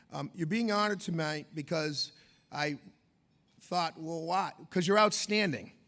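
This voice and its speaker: A man with an American accent speaks loudly and at a fairly slow pace, his high pitch varying in an ordinary way, with long, frequent pauses. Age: 50s. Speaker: event co-host. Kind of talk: gala emcee speech. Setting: stage with audience at gala dinner.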